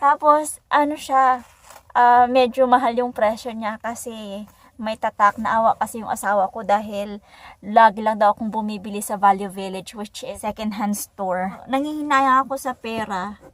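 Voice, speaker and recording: On a very clean recording with a silent background, a woman talks in a plain, everyday voice at a fairly high pitch and moderate pace, with ordinary pitch variation and big swings in loudness. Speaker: vlogger. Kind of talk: casual vlog.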